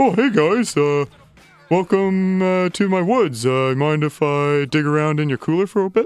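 A put-on character voice speaks at a moderate pace with lively intonation and very even loudness. Faint music sits in the background. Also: man, high pitch for a man. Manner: big and happy, friendly.

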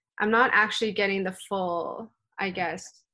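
Against a quiet background, a woman with a Canadian accent speaks at a moderate pace in a bright, sharp, medium-pitched voice with fairly even intonation. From Canada. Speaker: badminton player. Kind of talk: interview.

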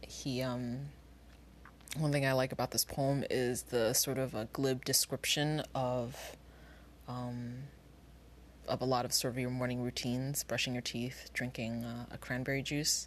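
Against a quiet background, the speaker talks fairly slowly in a flat, monotone way. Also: woman, very deep, low pitch for a woman. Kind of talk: poem reading aloud. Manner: unhurried, conversational, with a casual cadence.

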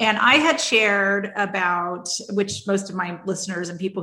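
Noticeable background noise runs under this recording. A woman speaks at a moderate pace and a medium pitch. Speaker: podcast host. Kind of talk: casual interview chat.

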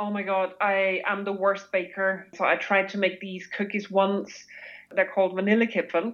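A woman talks at a moderate pace and a medium pitch, her intonation flat and monotone. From Austria. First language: German (Austrian dialect). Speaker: expat guest. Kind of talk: casual interview chat.

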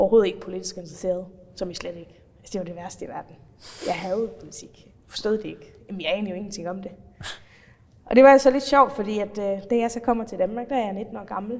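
Talking at a very fast pace, a woman's voice swings greatly in loudness. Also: medium pitch for a woman, ordinary pitch variation. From Faroe Islands. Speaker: politician. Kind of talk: interview.

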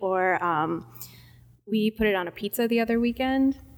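This woman speaks in a Midwestern US accent with an animated, cheerful tone. Her pitch varies in an ordinary way. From US Midwest. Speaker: cheese department manager. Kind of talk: casual interview chat. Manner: animated, cheerful, laughs often.

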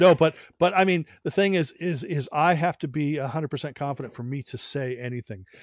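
In a normal speaking voice with ordinary pitch variation, the speaker moves at a fairly quick pace, the very clean recording silent in the background and dry and close with no echo. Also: man, fairly high pitch for a man. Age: 50s. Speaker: music journalist and YouTube host. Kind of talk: casual chat.

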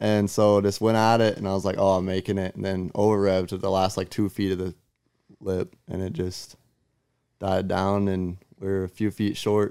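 A man at a fairly low pitch with a dark, mellow tone and monotone, flat intonation, speaking at a moderate pace in a very clean recording with a silent background. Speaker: podcast guest, motocross rider. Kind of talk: casual chat.

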